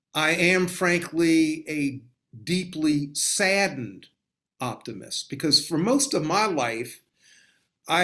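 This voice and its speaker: On a very clean recording with a silent background, a man with an American accent speaks at a fairly high pitch with lively intonation. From US South. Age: 60s. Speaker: author and law scholar. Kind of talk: interview.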